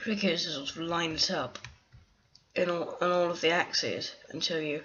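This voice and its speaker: The speaker talks at a moderate pace against noticeable background noise. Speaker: let's play gamer. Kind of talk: live game commentary.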